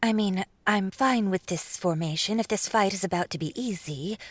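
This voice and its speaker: Over a silent background in a very clean recording, a put-on character voice moves at a moderate pace. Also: woman, medium pitch for a woman. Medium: read story. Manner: hesitant, filler-prone but sensible.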